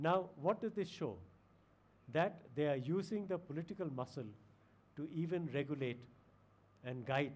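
At a moderate pace, a man speaks with lively intonation in a somewhat breathy voice. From India. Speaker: retired diplomat; guest lecturer. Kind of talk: lecture. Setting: lecture hall with audience. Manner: formal. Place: hall. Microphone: podium.

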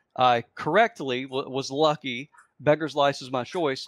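There is ordinary pitch variation as this man talks, his sound dry with no echo and the background quiet. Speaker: panelist. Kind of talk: casual panel discussion. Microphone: video call.

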